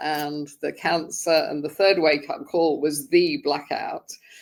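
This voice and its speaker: A woman with a British accent speaks in a fairly low pitch at a moderate pace. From England (London). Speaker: sobriety group founder. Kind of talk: podcast interview, personal story.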